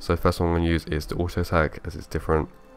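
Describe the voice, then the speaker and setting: A man's very deep, low voice sounds over music in the background. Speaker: gaming video host. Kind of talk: game commentary, skill walkthrough. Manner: casual.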